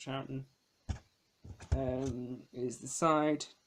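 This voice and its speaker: This man talks with a British accent. His pitch is medium and his pace very slow. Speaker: DVD collector vlogger. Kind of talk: casual video review. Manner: hesitant with frequent ums.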